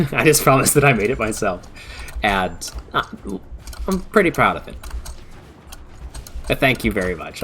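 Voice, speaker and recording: With music in the background, a man talks at a fairly quick pace in a relaxed tone with lively intonation. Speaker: VTuber streamer. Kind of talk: casual live-stream chat. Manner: stuttering, halting.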